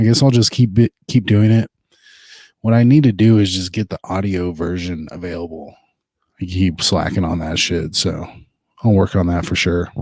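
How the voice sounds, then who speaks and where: At a moderate pace, a man speaks at a very deep, low pitch with ordinary pitch variation and long, frequent pauses, on a very clean recording with a silent background. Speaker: podcast host. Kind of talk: casual chat. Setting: home living room. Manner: quiet, trying not to be loud.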